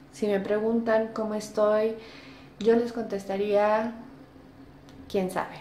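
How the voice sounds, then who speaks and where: A woman's voice carries audible room echo, with light noise in the background. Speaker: vlogger. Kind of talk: casual vlog chat. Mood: reflective, candid, slightly subdued. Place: home room. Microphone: phone near.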